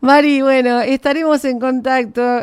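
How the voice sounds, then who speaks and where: A woman with an Argentine accent speaks at a fairly slow pace in a very clean recording with a silent background. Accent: Argentine Spanish (Rioplatense). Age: 60s. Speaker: radio host. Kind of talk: radio interview.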